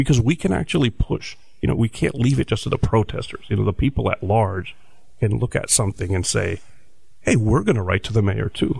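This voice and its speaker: Speaking at a fairly quick pace, a man with an American accent uses a fairly low pitch, lively intonation and vocal fry. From New Jersey. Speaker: professor and activist. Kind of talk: interview discussion. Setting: studio.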